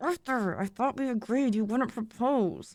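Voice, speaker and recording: Putting on a character voice, a woman speaks at a high pitch and a moderate pace with ordinary pitch variation. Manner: through gritted teeth.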